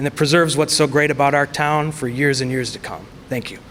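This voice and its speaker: A man with an American accent, fairly high in pitch, at a very fast pace over noticeable background noise. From US Midwest, Chicago suburbs. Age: 20s. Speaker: political candidate. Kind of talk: candidate speech at forum.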